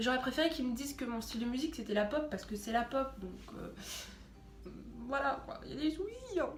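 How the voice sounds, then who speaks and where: A high-pitched woman's voice at a very fast pace, with ordinary pitch variation, long, frequent pauses, audible room echo and music in the background. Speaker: YouTuber. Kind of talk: casual vlog.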